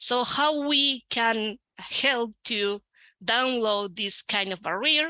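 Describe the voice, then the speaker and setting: Speaking very slowly, a woman uses an Argentine accent and a bright, sharp tone at a fairly high pitch. Her pitch varies in an ordinary way, and the sound is dry and close with no echo. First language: Spanish. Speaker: researcher and educator. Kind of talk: conference talk. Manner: halting, many fillers.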